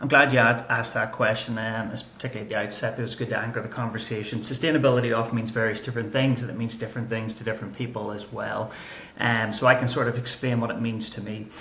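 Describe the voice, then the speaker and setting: Speaking very fast with hardly any pauses, a man with an Irish accent keeps a medium pitch and monotone, flat intonation. Audible room echo and noticeable background noise surround him. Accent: Irish accent, kept. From Ireland. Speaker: climate and nature strategy analyst. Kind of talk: podcast interview.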